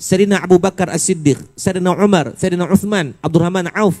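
Moderately paced speech from a man pitched high, with normal pitch movement. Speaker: preacher. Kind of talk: mosque lecture. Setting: mosque with audience. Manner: animated.

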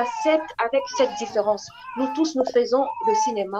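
A woman speaks at a fairly slow pace in a high voice, with noticeable background noise behind her. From DR Congo. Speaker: actress. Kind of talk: interview. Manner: halting. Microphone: earbuds.

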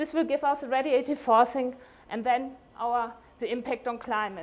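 A woman's fairly high voice at a moderate pace, with fairly even intonation

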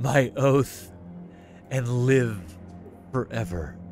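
Someone speaks in a put-on character voice. Clear music plays in the background. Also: man, medium pitch for a man. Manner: welcoming, hypnotic.

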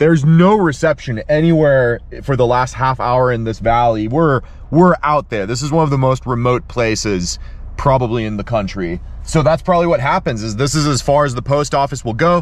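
In a dry sound with no echo, a man speaks at a fairly quick pace with ordinary pitch variation. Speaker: fishing vlogger. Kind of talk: casual vlog chat. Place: car. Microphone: phone near.

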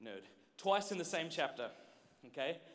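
A man speaks with an Australian accent at a high pitch. His pitch swings are very wide. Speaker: speaker. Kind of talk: conference workshop talk to youth. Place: stage. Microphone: handheld.

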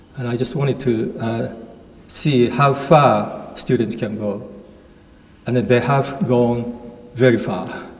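Very slowly and with long, frequent pauses, a man with a Japanese accent speaks with ordinary pitch variation. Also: medium pitch for a man. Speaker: university Japanese lecturer. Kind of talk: lecture. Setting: lecture hall with audience. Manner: humorous. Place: hall.

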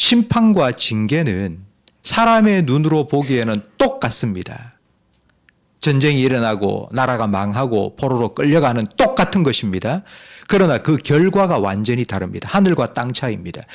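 Speaking at a moderate pace, the man has a medium pitch and very wide pitch swings. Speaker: pastor. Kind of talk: sermon.

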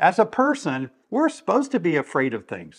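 Against a quiet background, a man talks with vocal fry and very wide pitch swings. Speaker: video host. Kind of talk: motivational talk to camera. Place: home room.

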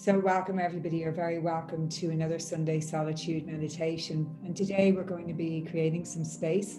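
A woman with an Irish accent, fairly low in pitch, flat and monotone, with hardly any pauses and music in the background. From Ireland. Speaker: meditation guide. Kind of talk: guided meditation. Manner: slow, soft-spoken. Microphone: earbuds.

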